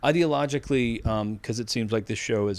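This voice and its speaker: An ordinary speaking voice from a man, fairly low in pitch, fairly quick, with ordinary pitch variation. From Massachusetts (Needham, near Boston). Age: 50s. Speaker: AI ethics expert. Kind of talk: interview.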